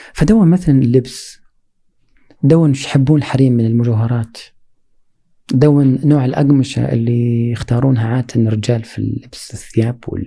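A somewhat breathy man's voice, medium in pitch, with ordinary pitch variation and a moderate pace. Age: 40s. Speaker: poet and cultural researcher. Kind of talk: interview conversation.

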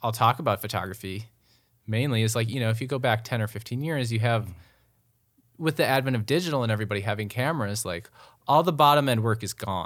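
At a very fast pace, a man with an Upper Midwest accent speaks at a medium pitch with ordinary pitch variation, in a very clean recording with a silent background. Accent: Upper Midwest (Minnesota). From Minnesota, Twin Cities suburbs. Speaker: photographer. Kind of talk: casual chat. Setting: studio.

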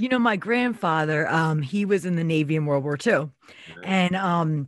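This woman has an unremarkable speaking voice and an American accent, pitched fairly low. She talks at a fairly slow pace with ordinary pitch variation. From Philadelphia area. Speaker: guest and co-host, human services worker.

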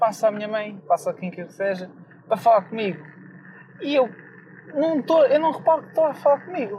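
Noticeable background noise sits behind a man with a European Portuguese accent whose high voice swings very widely in pitch at a moderate pace. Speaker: podcast host. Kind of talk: casual monologue.

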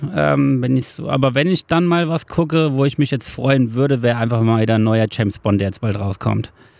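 A man at medium pitch talks with hardly any pauses. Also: lively intonation, fairly quick pace. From Hesse, Germany (Marburg). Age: 30s. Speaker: carpenter. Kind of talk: casual interview. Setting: outdoors on a wooden terrace. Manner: hesitant, many filler sounds.

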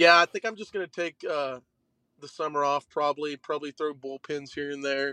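With an Oklahoma accent, a man talks at a moderate pace in a fairly high, bright, sharp voice, taking long, frequent pauses. His loudness swings widely, and the sound is dry and close with no echo. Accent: Oklahoma Southern American. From western Oklahoma, Shattuck. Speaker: college baseball pitcher. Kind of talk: interview.

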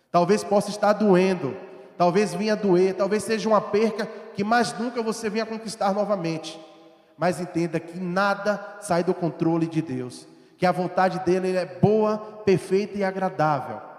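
A man's high-pitched voice with fairly even intonation, amid noticeable background noise. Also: moderate pace. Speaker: preacher. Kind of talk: sermon. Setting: church. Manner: rhetorical questions and fervent exhortation; earnest, urgent, pleading.

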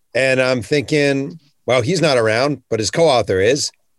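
A man's lively intonation on a very clean recording with a silent background. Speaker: podcast host and author. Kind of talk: podcast interview with opening rant. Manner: animated, profane, angry in the intro.

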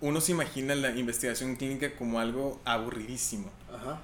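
Audible room echo surrounds speech delivered at a moderate tempo. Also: man. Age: 20s. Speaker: medical researcher. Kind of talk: casual interview.

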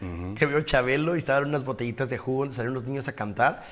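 Ordinary pitch variation and medium pitch in a man's unremarkable speaking voice. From Ensenada, Baja California, Mexico. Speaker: broadcaster and businessman. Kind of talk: interview.

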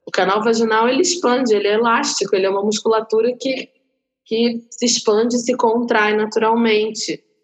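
A woman talks at a fairly quick pace with ordinary pitch variation. She has an ordinary speaking voice. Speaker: actress and doula. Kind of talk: casual chat.

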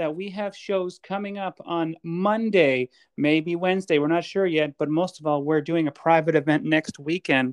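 A man speaks at a fairly high pitch, with a dry, close sound, no echo and a quiet background. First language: Cree. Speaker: podcast host and stand-up comedian. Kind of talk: casual chat.

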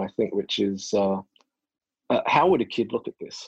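Fairly quick, fairly low-pitched speech from a man with an Australian accent, dry and close with no echo, over a quiet background. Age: 40s. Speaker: naturopath and researcher. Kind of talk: interview. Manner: halting.

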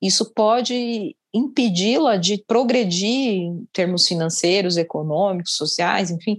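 A woman talks at a very slow pace. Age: 40s. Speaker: gynecologist. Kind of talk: interview.

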